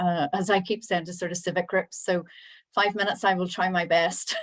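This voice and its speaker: Speaking at a very fast pace, a woman with a Northern Irish accent uses fairly even intonation and a medium pitch, on a very clean recording with a silent background. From Northern Ireland. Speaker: town planner. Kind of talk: panel presentation.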